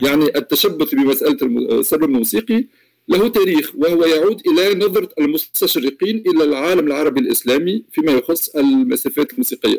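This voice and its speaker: A man speaks with a high pitch and very wide pitch swings, his loudness very even. The pace is moderate, and the sound is dry and close with no echo. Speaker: musicologist and music professor. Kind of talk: interview about academic research. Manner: formal; halting, with repetitions.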